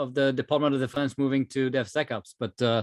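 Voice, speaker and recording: Over a quiet background, a man speaks fairly quickly in a French accent. The sound is dry and close, with no echo. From France. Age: 30s. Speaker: technology executive, speaker. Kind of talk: webinar presentation. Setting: online webinar.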